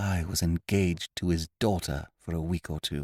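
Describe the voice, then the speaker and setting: A put-on character voice, quiet, with fairly even intonation at a moderate pace. The recording is very clean with a silent background, dry and close with no echo. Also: man. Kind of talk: upper-class. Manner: hushed.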